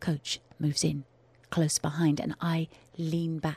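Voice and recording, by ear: Using a put-on character voice, a woman speaks slowly and low with little pitch movement, a slightly mellow tone and a slightly husky edge, in a dry, close sound with no echo.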